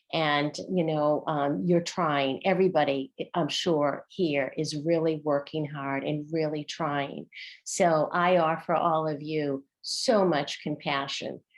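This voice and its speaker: A woman with a Boston accent speaks at a very slow pace. Her pitch is very deep and low, with fairly even intonation. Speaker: former teacher, workshop facilitator. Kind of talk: online workshop discussion.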